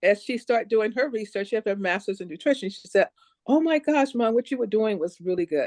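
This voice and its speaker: A woman with a fairly high pitch talks at a very fast pace and with lively intonation. The sound is dry and close, with no echo. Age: 70s. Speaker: nurse practitioner and naturopath. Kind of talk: casual chat. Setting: video call.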